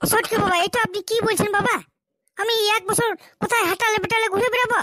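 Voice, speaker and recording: This is a cartoonish character voice with monotone, flat intonation. Its loudness stays very even, and the sound is dry and close with no echo. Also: woman, extremely high pitch for a woman, moderate pace. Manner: whiny, pleading.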